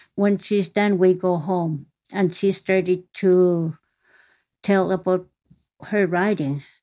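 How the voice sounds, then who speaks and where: A woman at a very slow pace with long, frequent pauses, a dark, mellow tone, medium pitch and monotone, flat intonation against a quiet background. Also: very even loudness. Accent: Inuit Canadian. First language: Inuktitut. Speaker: daughter of the author. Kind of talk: interview.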